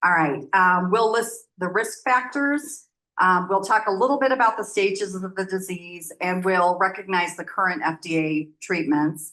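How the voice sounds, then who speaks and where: Loud and bright, with a sharp tone, a woman with an American accent speaks with lively intonation. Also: medium pitch for a woman, moderate pace, hardly any pauses, quiet background. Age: 60s. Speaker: nonprofit program manager. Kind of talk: presentation.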